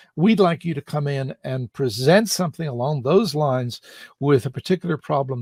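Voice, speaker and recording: Somewhat breathy and fairly high-pitched, a man speaks at a fairly quick pace with lively intonation, in a dry, close sound with no echo on a very clean recording with a silent background. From Ireland. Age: 60s. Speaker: public speaker. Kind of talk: interview.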